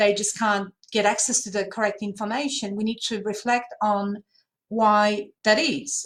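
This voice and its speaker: Fairly even intonation in a Polish accent, a fairly slow pace, and a very clean recording with a silent background. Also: woman. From Poland. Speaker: language services panelist. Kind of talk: panel discussion. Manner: hesitant, many fillers.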